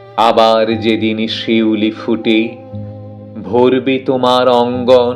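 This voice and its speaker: With music in the background, a man speaks at a medium pitch in monotone, flat intonation. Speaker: poetry reciter. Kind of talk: poetry reading. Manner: emotional, expressive, measured pauses.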